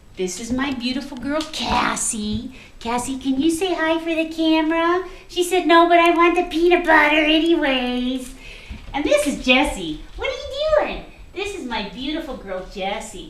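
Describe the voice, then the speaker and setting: A woman with high pitch speaks at a moderate pace with lively intonation. Noticeable background noise and audible room echo surround her. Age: 40s. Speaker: home cook and cookbook author. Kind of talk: cooking demonstration. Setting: home kitchen. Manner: chatty, talkative.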